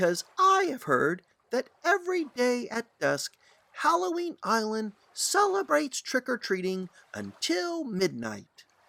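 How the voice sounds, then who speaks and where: Putting on a character voice, a man speaks at an extremely high pitch. His pace is fairly slow. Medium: read story. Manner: earnest, friendly.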